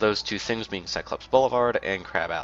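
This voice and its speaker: A man with an American accent speaks at a moderate pace, music playing in the background. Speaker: gaming youtuber. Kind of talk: let's play commentary.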